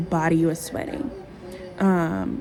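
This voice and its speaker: A woman speaks with music in the background. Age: 30s. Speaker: vlogger. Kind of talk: casual talk to camera.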